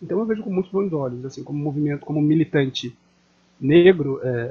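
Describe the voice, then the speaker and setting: A somewhat breathy man's voice, fairly high in pitch, at a fairly quick pace with ordinary pitch variation. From Niterói, Rio de Janeiro state, Brazil. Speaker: theatre activist and journalist. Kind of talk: interview.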